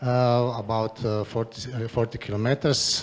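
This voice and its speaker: A man with a Croatian accent speaks at a fairly slow pace. His pitch is medium, with noticeable background noise behind him. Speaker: regional politician. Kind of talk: conference presentation. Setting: stage with audience. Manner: halting, many fillers.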